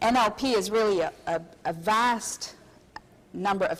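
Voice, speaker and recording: A woman speaks with a French Canadian accent and ordinary pitch variation. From Quebec, Canada. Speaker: hypnotherapist and seminar presenter. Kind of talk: convention seminar lecture.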